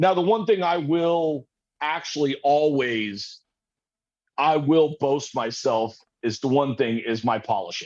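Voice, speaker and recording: With lively intonation, a man talks fairly slowly at a fairly high pitch. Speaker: machinist making custom vape parts. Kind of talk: casual chat. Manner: loud.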